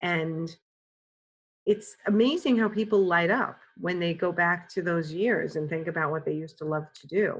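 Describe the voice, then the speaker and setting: A woman talks with a New York accent. Her pitch varies in an ordinary way. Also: fairly low pitch for a woman, moderate pace. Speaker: career coach. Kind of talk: podcast interview answer.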